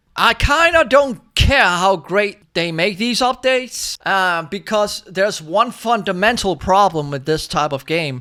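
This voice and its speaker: A man's high, raised, projected voice with a bright, sharp tone and very wide pitch swings, at a fairly slow pace with hardly any pauses, on a very clean recording with a silent background. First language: not English. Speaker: gaming YouTuber. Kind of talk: casual gaming commentary. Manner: halting.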